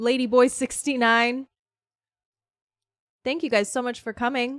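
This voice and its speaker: A woman speaks loudly at a fairly slow pace in a high voice with monotone, flat intonation. The recording is very clean, with a silent background. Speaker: streamer. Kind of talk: casual chat. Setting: live stream. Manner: chatty.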